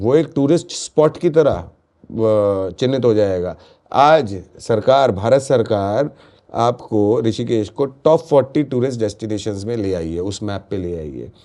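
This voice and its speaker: Lively intonation marks this man's medium-pitched voice. His tone is dark and mellow, with a quiet background. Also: big swings in loudness. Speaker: local business association leader. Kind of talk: podcast interview. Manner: animated.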